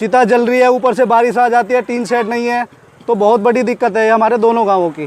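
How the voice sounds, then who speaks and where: Extremely high pitch from a man at a moderate pace, with noticeable background noise. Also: fairly even intonation. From western Uttar Pradesh, near Noida. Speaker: villager. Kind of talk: interview testimony.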